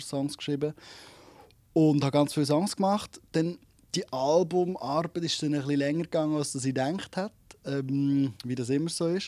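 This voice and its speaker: A man with a Swiss accent speaks in a fairly high pitch and a dark, mellow tone at a moderate pace. His intonation is fairly even, and the sound is dry with no echo. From Switzerland. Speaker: singer-songwriter; interviewee. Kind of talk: radio interview. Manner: halting, many repetitions. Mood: relaxed, friendly. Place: studio. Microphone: handheld.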